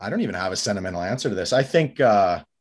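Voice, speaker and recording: A fairly low-pitched man with a western Canadian accent over a quiet background. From Canada, Calgary. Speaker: hockey goalie and coach. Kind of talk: casual chat.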